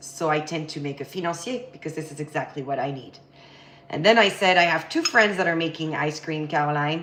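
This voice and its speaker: A woman talks at a fairly low pitch with ordinary pitch variation. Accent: French. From France, Paris. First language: French. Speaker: baking instructor. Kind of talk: live cooking tutorial. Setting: home kitchen livestream. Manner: casual, chatty.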